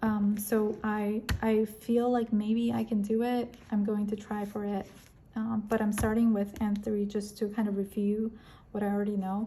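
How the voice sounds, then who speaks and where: Somewhat breathy and dark, mellow in tone, a woman with a fairly high pitch speaks at a fairly slow pace with monotone, flat intonation. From Korea or China, moved to America at 13. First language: Korean and Chinese. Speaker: planner and stationery YouTuber. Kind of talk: casual vlog chat. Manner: many fillers and self-corrections.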